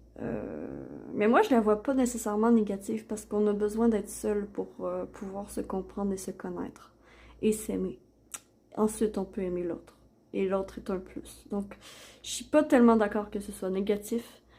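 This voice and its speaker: A woman with a Quebec accent, medium in pitch and dark, mellow in tone, at a moderate pace, with fairly even intonation and big swings in loudness. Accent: Québécois. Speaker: oracle card reader, YouTuber. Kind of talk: product unboxing and card reading. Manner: hesitant, many fillers.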